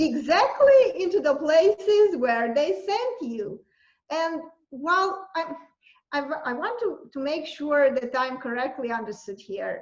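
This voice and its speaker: In a Romanian accent, a woman speaks with high pitch at a fairly slow pace. Her pitch swings very widely. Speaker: university lecturer and journalist. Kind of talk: interview answer.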